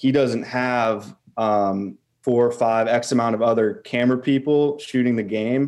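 Fairly slow and medium-pitched, a man speaks with a dark, mellow tone and fairly even intonation. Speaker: caller, video content creator. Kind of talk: casual chat.

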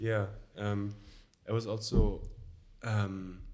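In a German accent, a man speaks at a fairly low pitch. His intonation is monotone and flat. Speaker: social work student. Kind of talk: conversational interview. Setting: studio. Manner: halting.

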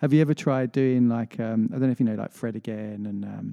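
Recorded dry and close with no echo, a man with an unremarkable speaking voice and medium pitch talks at a fairly quick pace with fairly even intonation. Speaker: radio host. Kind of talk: casual radio chat. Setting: radio studio. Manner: friendly, easygoing.

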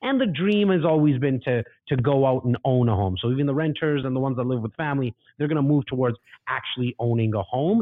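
Speaking very fast in a Toronto accent, a man has an animated tone. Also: medium pitch for a man, ordinary pitch variation. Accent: Canadian English (Toronto). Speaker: real estate investor and agent. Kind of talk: casual interview.

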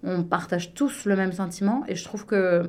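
An ordinary speaking voice: a woman at medium pitch, talking at a moderate pace. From Belgium, Liège area. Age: 30s. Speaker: business consultant. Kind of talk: casual radio interview.

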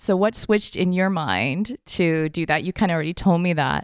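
Heard in a very clean recording with a silent background, a plain, everyday voice shows ordinary pitch variation. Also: woman. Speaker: podcast host. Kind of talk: interview questions.

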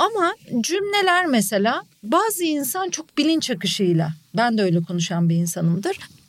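A woman speaks loudly at a high pitch and a moderate pace, with very wide pitch swings. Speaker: journalist and podcaster. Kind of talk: casual chat. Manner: frequent loud laughter.

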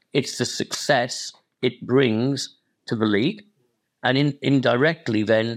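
A man with a Welsh accent and a medium pitch speaks at a very slow pace with ordinary pitch variation and very even loudness. The recording is very clean, with a silent background. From Wales. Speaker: football club chairman. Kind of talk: interview.

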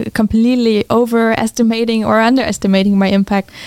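A woman with a German accent speaks in a monotone, flat way, the sound dry and close with no echo. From Germany. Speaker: physics professor and entrepreneur. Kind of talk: interview.

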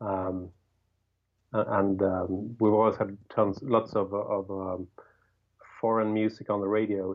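A man with a Swedish accent speaks at a very slow pace with long, frequent pauses, a fairly low pitch and monotone, flat intonation. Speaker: rock guitarist and songwriter. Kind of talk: casual interview.

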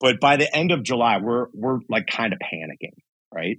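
Over a quiet background, a man of medium pitch talks at a fairly quick pace. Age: 40s. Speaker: franchise entrepreneur. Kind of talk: interview.

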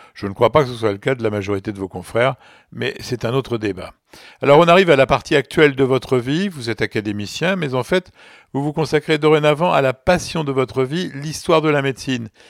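Recorded very cleanly, with a silent background and a dry, close sound without echo, a man has a plain, everyday voice at medium pitch. His intonation is lively and his pace fairly quick. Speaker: doctor and medical journalist, podcast host. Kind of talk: interview; storytelling.

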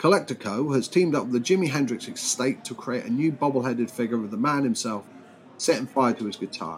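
A man talks at a very fast pace in a British accent. His medium pitch shows ordinary variation. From Britain. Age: 40s. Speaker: podcast host. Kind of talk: casual news commentary monologue.

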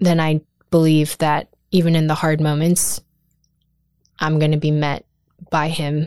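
In an American accent, a woman with a very deep, low voice speaks in a monotone, flat way with long, frequent pauses. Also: dry, close sound with no echo. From Pennsylvania, US. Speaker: adoptee guest. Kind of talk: casual interview.

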